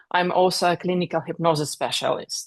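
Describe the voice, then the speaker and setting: A woman with a non-native accent speaks at a fairly slow pace. Her pitch is medium, and the background is quiet. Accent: foreign. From Russia. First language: Russian. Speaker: author and speaker. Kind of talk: interview.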